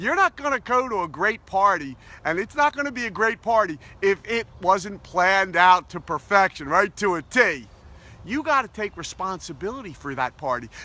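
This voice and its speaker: A man with a high, raised and projected voice talks at a moderate pace with lively intonation and a bright, sharp tone. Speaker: positivity coach. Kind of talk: motivational talk to camera. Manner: upbeat, enthusiastic.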